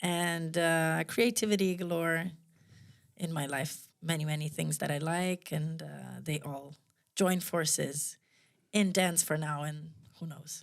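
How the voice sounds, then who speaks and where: On a very clean recording with a silent background, a woman with an Italian accent speaks at a fairly low pitch and a fairly slow pace, her intonation fairly even. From Italy. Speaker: movement teacher and choreographer. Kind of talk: casual conversation. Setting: studio.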